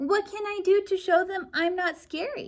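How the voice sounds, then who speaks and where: A woman uses a squeaky, put-on character voice at an extremely high pitch. She talks at a moderate pace. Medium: read story. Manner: nervous, jumpy.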